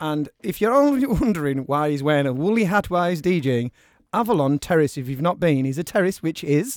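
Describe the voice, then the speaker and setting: A man with a plain, everyday voice speaks at a fairly quick pace with lively intonation and a fairly high pitch. The recording is very clean, with a silent background. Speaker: radio host. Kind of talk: radio dj patter. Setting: radio studio. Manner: bantering, chatty.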